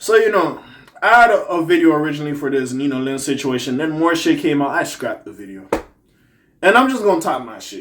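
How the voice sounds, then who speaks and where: Talking at a very fast pace, a man with a fairly high voice swings his pitch very widely while the room echo is audible. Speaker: commentary YouTuber. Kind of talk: casual commentary rant. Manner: animated.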